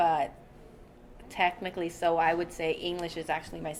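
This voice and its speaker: Amid noticeable background noise, a woman speaks in a fairly low voice. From Bangkok, Thailand. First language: Thai. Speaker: restaurant owner and chef. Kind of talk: interview.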